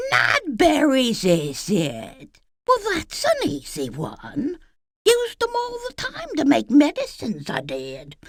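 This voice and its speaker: This female-sounding voice is a put-on character voice that cackles. It moves at a fairly slow pace. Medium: video game. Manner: cackling, folksy, sly.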